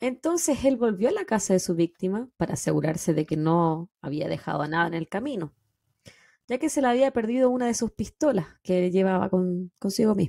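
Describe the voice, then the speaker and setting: A woman with a Chilean accent speaks at medium pitch with a dark, mellow tone and very wide pitch swings. Her pace is fairly quick against a quiet background. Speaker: true crime podcast host. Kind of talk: casual chat; true crime storytelling narration. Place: home room. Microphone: studio mic.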